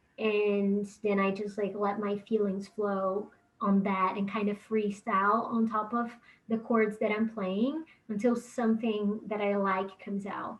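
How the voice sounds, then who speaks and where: A woman's fairly high, flat, monotone voice with a Portuguese accent at a fairly slow pace. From Brazil. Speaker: musician. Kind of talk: interview.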